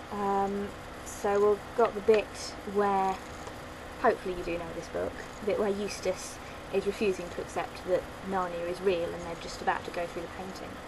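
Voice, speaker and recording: With a London accent, a woman speaks at a medium pitch in a monotone, flat way, leaving long, frequent pauses. Her loudness swings widely, and the recording has audible room echo and noticeable background noise. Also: moderate pace. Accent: British, London. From London, England. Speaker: vlogger. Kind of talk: casual vlog, accent challenge.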